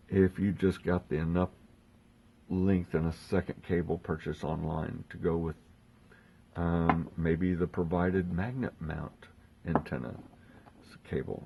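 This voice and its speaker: A soft-spoken man's very deep, low voice, dark and mellow in tone, at a fairly slow pace with fairly even intonation. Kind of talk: instructional talk to camera.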